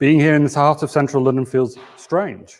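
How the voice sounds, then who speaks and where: With a northern English accent, a man speaks at a moderate pace in a medium pitch. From Yorkshire. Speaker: think tank chief executive. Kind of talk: conference opening speech. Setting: office venue, live hybrid conference. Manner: formal.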